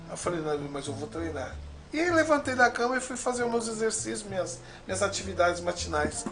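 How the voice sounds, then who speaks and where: A man speaks fairly quickly. Behind him, background noise is noticeable. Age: 50s. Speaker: judo teacher. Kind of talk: interview.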